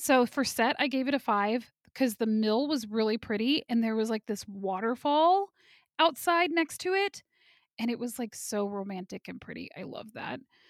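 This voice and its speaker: Over a silent background on a very clean recording, a woman with a plain, everyday voice and fairly high pitch speaks at a moderate pace, using lively intonation and big swings in loudness, in a dry, close sound with no echo. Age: 30s. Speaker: podcast co-host. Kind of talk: casual chat.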